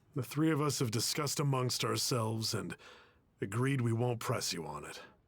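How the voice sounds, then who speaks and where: A man's raspy, put-on character voice, medium in pitch and moderate in pace, on a very clean recording with a silent background. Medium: video game.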